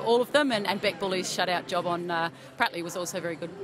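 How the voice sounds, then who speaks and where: A woman speaks at a fairly quick pace with ordinary pitch variation, the sound dry with no echo but with noticeable background noise. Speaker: team coach. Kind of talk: interview answer. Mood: pleased, upbeat after win. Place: hall. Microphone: handheld.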